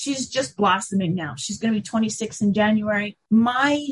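Somewhat breathy, a woman speaks at a fairly slow pace with a fairly high pitch and lively intonation. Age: 50s. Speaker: author and conference organizer. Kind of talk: interview.

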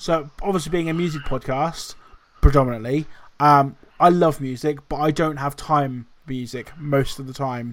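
A man with a normal speaking voice talks with fairly even intonation but big swings in loudness. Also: fairly high pitch for a man, moderate pace. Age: younger than Andy (under 34). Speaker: podcast co-host. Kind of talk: casual chat.

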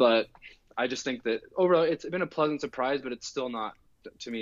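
An ordinary speaking voice, a man with an American accent talks at a fairly quick pace with medium pitch and lively intonation. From US Pacific Northwest, Oregon. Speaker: math teacher and football analyst. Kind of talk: casual chat.

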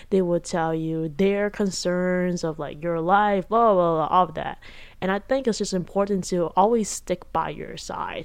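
A woman's fairly slow, fairly even delivery at medium pitch, a normal speaking voice, over a quiet background. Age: 20s. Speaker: solo podcaster. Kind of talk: casual monologue. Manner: casual, filler-heavy.

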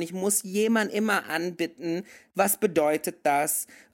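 A man speaks at a fairly slow pace with a high pitch. His intonation stays fairly even. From mixed: Indonesia and several countries. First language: English (speaking German). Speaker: podcast co-host. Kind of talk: casual chat. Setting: remote call.

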